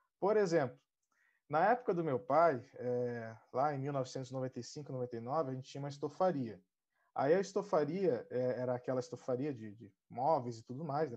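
Against a quiet background, a man with a plain, everyday voice speaks at a fairly high pitch and moderate pace, with ordinary pitch variation. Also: big swings in loudness. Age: 30s. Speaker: digital marketing specialist. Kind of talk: live panel discussion.

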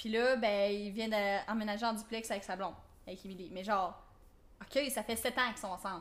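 At a fairly quick pace but with long, frequent pauses, a fairly high-pitched woman with a Quebec accent talks in fairly even intonation. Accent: Québécois French. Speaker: podcast co-host. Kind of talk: casual chat.

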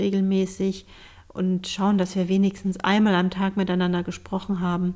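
Her tone dark and mellow, a woman talks at a medium pitch and a moderate pace. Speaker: podcast co-host. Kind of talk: casual chat.

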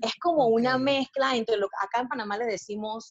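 A woman's fairly high voice moves at a moderate pace with ordinary pitch variation. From Panama. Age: 40s. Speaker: body positive activist and blogger. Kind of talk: casual interview chat.

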